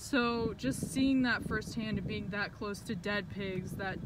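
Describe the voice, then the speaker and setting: A woman's very slow speech, dry with no echo, ordinary pitch variation, loud background noise behind her. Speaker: vegan activist vlogger. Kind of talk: emotional rant monologue. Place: car.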